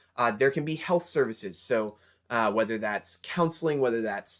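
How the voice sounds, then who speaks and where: This is a man with an ordinary speaking voice and ordinary pitch variation. He talks at a fairly quick pace on a very clean recording with a silent background. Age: 20s. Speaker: college student vlogger. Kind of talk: casual advice talk.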